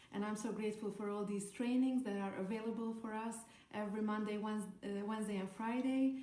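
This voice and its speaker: Spoken very fast in a Hungarian accent with flat, monotone intonation, the clip has audible room echo and noticeable background noise. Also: woman, fairly high pitch for a woman. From Hungary. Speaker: network marketer. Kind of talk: podcast talk, training advice. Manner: halting, many fillers.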